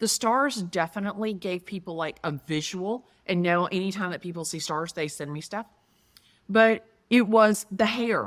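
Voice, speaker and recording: Speaking in a strong Southern US accent, a woman with a medium pitch and ordinary pitch variation talks at a moderate pace in an animated tone with big swings in loudness. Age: 50s. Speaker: real estate agent. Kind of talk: interview conversation.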